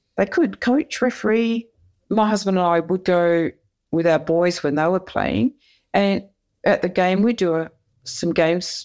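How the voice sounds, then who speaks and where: With an Australian accent, a woman speaks at a fairly slow pace with long, frequent pauses and very even loudness, recorded very cleanly against a silent background. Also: medium pitch for a woman, ordinary pitch variation. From Perth, Western Australia. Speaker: retired soccer referee. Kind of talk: interview.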